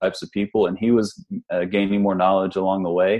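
At a fairly quick pace, this is an ordinary speaking voice with an American accent. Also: man. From West Virginia, Huntington. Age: 30s. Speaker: physical therapist, geriatric rehab advocate. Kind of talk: casual podcast interview.

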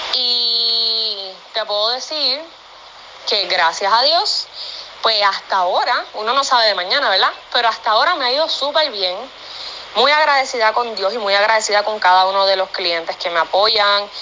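With noticeable background noise behind her, a woman speaks with lively intonation. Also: moderate pace. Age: 30s. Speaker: professional dancer and pet product maker. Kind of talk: interview.

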